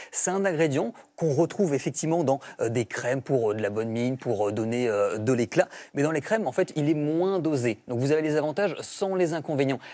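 A man's fairly high-pitched voice, dark and mellow in tone, with lively intonation. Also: moderate pace. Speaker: beauty columnist and journalist. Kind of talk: TV column explanation. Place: studio. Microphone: lapel.

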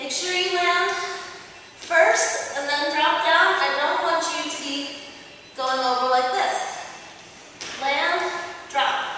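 A raised, projected voice at a very slow pace with long, frequent pauses, strong room echo and light background noise. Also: woman, ordinary pitch variation. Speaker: fitness instructor. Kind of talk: workout instruction.

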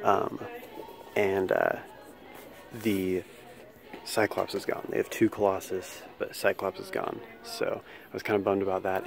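A man talks while music plays clearly in the background. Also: dry sound with no echo. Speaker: toy collector vlogger. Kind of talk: casual vlog chat. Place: shop. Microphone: phone near.

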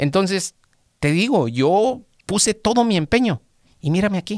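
A high-pitched man's voice with lively intonation at a moderate pace, dry with no echo against a quiet background. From Mexico, Guadalajara; Jalisco, Mexico. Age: 40s. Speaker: auto mechanic; podcast guest. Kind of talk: interview, personal testimony. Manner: halting, repeats words. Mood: reflective, personal. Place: studio. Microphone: studio mic.

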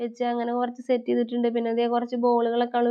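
Here is a woman with an ordinary speaking voice. Her pitch is fairly high. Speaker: family vlogger. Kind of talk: vlog narration. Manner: chatty, conversational.

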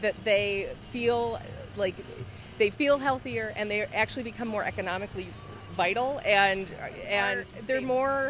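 The speech moves at a moderate pace with ordinary pitch variation. The sound is dry with no echo, though noticeable background noise comes through. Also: woman. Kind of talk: interview answer. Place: street. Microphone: handheld.

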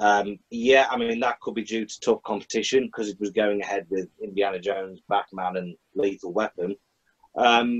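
An unremarkable speaking voice from a man, fairly low in pitch, at a moderate pace with fairly even intonation and a quiet background. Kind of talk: casual panel discussion. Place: home room. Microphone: video call.

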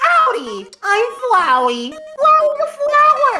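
A put-on character voice at an extremely high pitch and a very slow pace, over loud background music. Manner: cheery.

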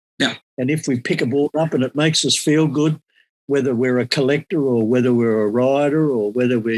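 Dry and close with no echo, a man with an Australian accent speaks at a medium pitch and a fairly quick pace with ordinary pitch variation. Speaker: surfboard shaper and former surf champion. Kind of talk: casual interview.

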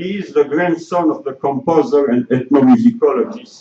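The background is quiet as a man talks at a moderate pace. His fairly high pitch moves in very wide swings. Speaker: conference moderator. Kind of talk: formal introduction. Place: hall.

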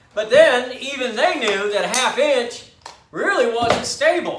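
With audible room echo and light background noise, a man talks in very wide pitch swings. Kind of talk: tutorial. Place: workshop.

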